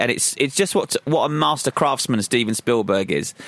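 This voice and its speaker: The speech moves at a fairly quick pace with lively intonation. Noticeable background noise can be heard. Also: man. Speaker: film podcast co-host. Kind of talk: casual film discussion.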